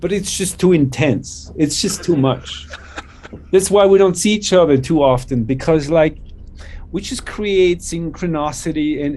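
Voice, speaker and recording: Over noticeable background noise, a man with a Swiss accent talks at a fairly slow pace, his fairly high pitch showing ordinary variation. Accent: Swiss-tinged. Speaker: electronic musician. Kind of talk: casual chat. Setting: video call. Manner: animated.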